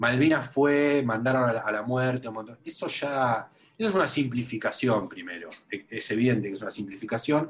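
In a Rioplatense accent, a man talks at a medium pitch and moderate pace with ordinary pitch variation over noticeable background noise. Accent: Rioplatense Spanish (porteño). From Buenos Aires, Argentina. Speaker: writer and museum researcher. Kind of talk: interview. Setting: remote call. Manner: halting, many fillers and repetitions.

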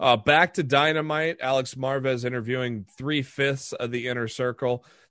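This man has an unremarkable speaking voice, pitched in the medium range and paced moderately. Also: very clean recording, silent background. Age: 40s. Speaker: wrestling podcast host. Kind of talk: casual chat.

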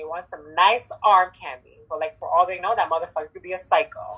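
A woman speaks at a fairly quick pace with hardly any pauses, her animated tone marked by big swings in loudness. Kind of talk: casual chat. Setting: phone or video call. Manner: hyper, animated.

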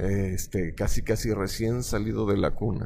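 A man's fairly slow voice, dark and mellow in tone, with audible room echo. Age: 30s. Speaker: stage hypnotist. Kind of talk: interview. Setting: theater backstage. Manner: formal.

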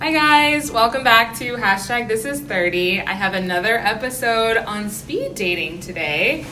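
With hardly any pauses, a woman at medium pitch speaks with lively intonation over noticeable background noise and audible room echo. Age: 30s. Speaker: podcast host. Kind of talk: casual chat.

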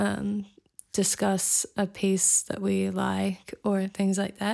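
A woman with a New Zealand accent on a very clean recording with a silent background. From New Zealand (raised from age five, Scottish family). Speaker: singer-songwriter. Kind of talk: interview.

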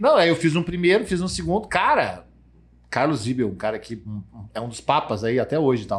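Using vocal fry and very wide pitch swings, a man with a fairly high pitch speaks at a fairly quick pace. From Rio Grande do Sul, Brazil (Santa Cruz do Sul). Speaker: sales executive. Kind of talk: casual chat. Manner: animated.

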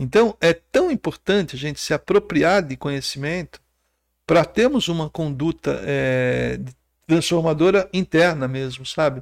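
In a very clean recording with a silent background and a dry, close sound with no echo, a man speaks at a fairly slow pace. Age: 50s. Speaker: entrepreneur and water safety volunteer educator. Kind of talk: podcast interview.

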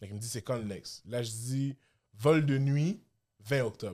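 Speaking at a fairly slow pace, a man at medium pitch uses an animated tone. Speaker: podcast host. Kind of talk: casual chat.

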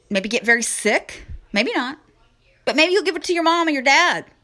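A woman speaks in a raised, projected voice at a moderate pace. Her pitch swings very widely. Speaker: podcast host. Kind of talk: angry political rant, solo monologue. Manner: indignant, sarcastic, scornful, blunt; loud, hard-hitting, lecturing the audience.

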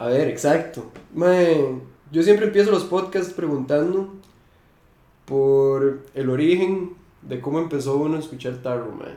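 In a Costa Rican accent, a man speaks with a dark, mellow tone at a fairly high pitch, with ordinary pitch variation. His pace is fairly slow, with long, frequent pauses and audible room echo. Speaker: podcast host and metal musician. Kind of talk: casual chat. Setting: at the guest's home.

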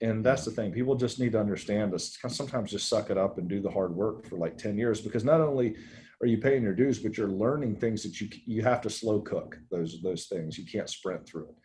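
A man's voice sits fairly low, with a dark, mellow tone and a somewhat breathy quality. He moves at a fairly quick pace with ordinary pitch variation and hardly any pauses. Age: 40s. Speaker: fitness equipment company president. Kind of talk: casual chat.

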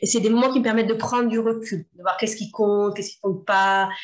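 The woman's voice sits at a fairly high pitch. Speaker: entrepreneur, former sports teacher. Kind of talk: interview. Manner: energetic.

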